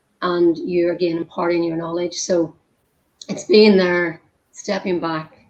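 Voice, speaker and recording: A woman talks fairly quickly at a medium pitch, her pitch varying in an ordinary way. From Ireland. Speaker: humanitarian worker, former nutritionist. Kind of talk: casual chat.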